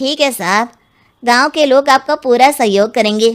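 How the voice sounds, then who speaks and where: A woman puts on a cartoonish character voice pitched high. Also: moderate pace. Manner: deferential, addresses police as sir.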